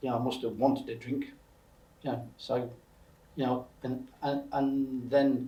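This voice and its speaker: The voice is dark, mellow and somewhat breathy, moving at a moderate pace with long, frequent pauses and a monotone, flat intonation amid audible room echo. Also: man. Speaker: recovering alcoholic sharing his story. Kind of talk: interview testimony. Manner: halting, many fillers and repetitions.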